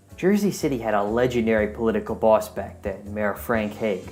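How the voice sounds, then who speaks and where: Fairly quick speech over background music. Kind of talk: podcast interviewer.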